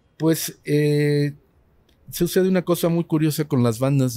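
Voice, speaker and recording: On a very clean recording with a silent background, a man speaks in a dark, mellow tone with ordinary pitch variation. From Mexico City, colonia Roma. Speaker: rock musician. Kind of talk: casual chat. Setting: studio.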